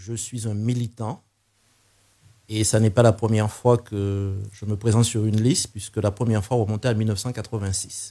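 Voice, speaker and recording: A man's dark, mellow tone at a fairly low pitch with monotone, flat intonation, on a very clean recording with a silent background. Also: moderate pace. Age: 60s. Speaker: political candidate, retired teacher. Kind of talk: political interview.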